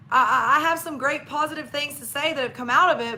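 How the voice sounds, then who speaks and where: A woman speaks in a raised, projected voice with a Southern US accent. Her tone is animated. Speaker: registered dietitian and network marketer. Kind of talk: live stream interview.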